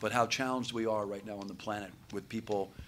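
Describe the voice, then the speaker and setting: A man talks very fast in a fairly low voice. His intonation stays fairly even. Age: 60s. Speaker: panel moderator. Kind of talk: panel discussion.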